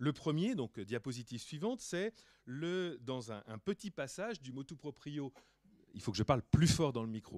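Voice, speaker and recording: Speaking at a moderate pace, a man has a fairly high voice with very wide pitch swings and big swings in loudness. The sound is dry and close, with no echo. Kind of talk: lecture. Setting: conference hall with audience.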